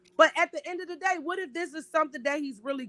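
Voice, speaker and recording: An animated tone comes through in a raised, projected voice. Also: woman. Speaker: podcast host. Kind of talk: casual chat. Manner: loud.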